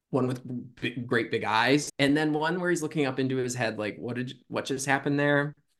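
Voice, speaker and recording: A man with an American accent and a plain, everyday voice, medium in pitch, fairly even in intonation, at a fairly quick pace. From Michigan. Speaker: student affairs professional. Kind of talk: casual chat.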